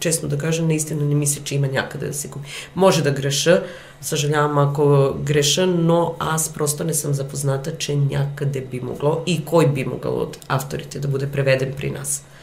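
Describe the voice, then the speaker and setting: Speaking with a Serbian accent, a woman has a very deep, low pitch and monotone, flat intonation at a moderate pace. Audible room echo and noticeable background noise are present. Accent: Serbian accent in Bulgarian, noticeable. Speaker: actress and theatre director. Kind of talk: interview. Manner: hesitant, with fillers.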